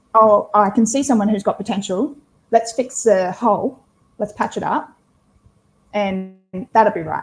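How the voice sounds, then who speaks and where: A woman speaks at a moderate pace with ordinary pitch variation. Her voice is somewhat breathy, broken by long, frequent pauses. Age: 30s. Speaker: team leadership coach. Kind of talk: interview answer.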